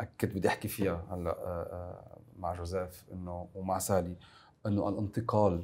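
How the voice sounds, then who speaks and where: A very deep, low-pitched male voice with a dark, mellow tone, monotone, flat intonation and a moderate pace. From Lebanon, north (Zgharta); Lebanon. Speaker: member of parliament and political science lecturer; political science lecturer. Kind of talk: political talk show discussion. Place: studio. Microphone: lapel.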